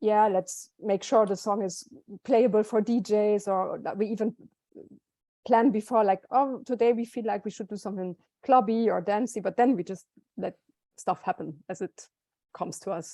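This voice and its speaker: A woman's dark, mellow, fairly high voice with a German accent, fairly even intonation, a moderate pace and long, frequent pauses, in a dry, close sound with no echo. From southern Germany. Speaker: musician. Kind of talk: interview.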